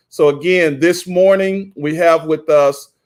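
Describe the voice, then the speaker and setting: A man speaks loudly at a high pitch, with ordinary pitch variation. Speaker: event host. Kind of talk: live event hosting.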